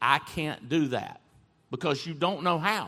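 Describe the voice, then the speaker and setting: In a very clean recording with a silent background, a man with an American accent speaks at a fairly high pitch, in a bright, sharp, energetic tone. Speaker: CEO and motivational speaker. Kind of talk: high-energy motivational stage talk. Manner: energetic, emphatic, conversational.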